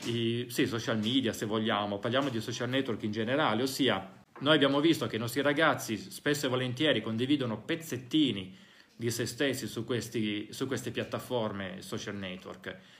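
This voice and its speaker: A man talks in a normal speaking voice at medium pitch and a moderate pace. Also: ordinary pitch variation. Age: 40s. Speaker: psychologist and podcast host. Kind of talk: talk to parents (recorded live session). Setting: school (recorded live session).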